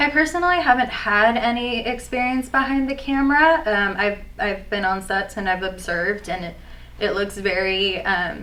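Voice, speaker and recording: A woman of medium pitch with lively intonation at a moderate pace, amid noticeable background noise and audible room echo. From US, Persian American family. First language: Farsi. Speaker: aspiring actor. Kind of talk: mock job interview. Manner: hesitant, many fillers.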